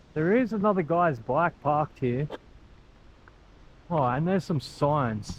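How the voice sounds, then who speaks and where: At a fairly slow pace, a man speaks with an Australian accent. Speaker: travel vlogger. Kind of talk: casual vlog narration. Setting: outdoors. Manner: animated.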